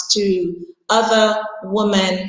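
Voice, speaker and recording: Speech from a woman at a medium pitch, with fairly even intonation amid audible room echo. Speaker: international school teacher. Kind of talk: prepared talk at an online panel. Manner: loud.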